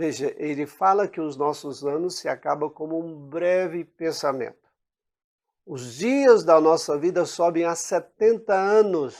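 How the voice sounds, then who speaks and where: Recorded very cleanly over a silent background, a man with a high pitch talks fairly slowly, his pitch varying in an ordinary way and his loudness swinging widely. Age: 60s. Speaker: preacher. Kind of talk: sermon.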